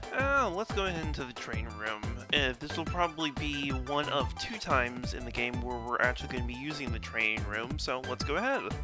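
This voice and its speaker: Music plays in the background as the speaker talks at a fairly quick pace. There are hardly any pauses. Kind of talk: casual gameplay livestream commentary. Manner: hesitant, stuttering.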